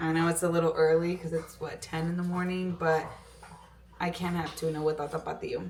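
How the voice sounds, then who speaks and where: A woman speaks at a fairly quick pace in a fairly low pitch. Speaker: fitness vlogger. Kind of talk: casual vlog talk. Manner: casual, filler-heavy; code-switching between English and Spanish.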